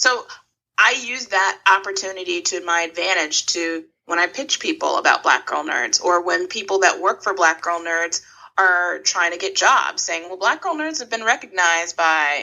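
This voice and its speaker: A woman has a plain, everyday voice at a medium pitch. She speaks at a moderate pace with lively intonation. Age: 30s. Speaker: founder of an online fan platform. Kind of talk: interview.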